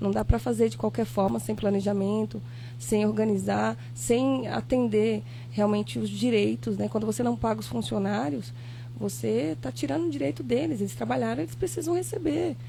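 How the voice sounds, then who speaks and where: A soft-spoken woman talks with a very deep, low voice and a dark, mellow tone. Her pitch varies in an ordinary way. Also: moderate pace. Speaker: former local politician. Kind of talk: podcast interview.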